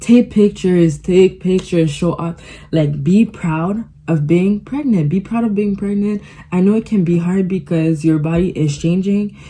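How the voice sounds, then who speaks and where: A woman's somewhat breathy voice of medium pitch and a dark, mellow tone, at a moderate pace with ordinary pitch variation. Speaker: vlogger. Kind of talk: casual chat. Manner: animated.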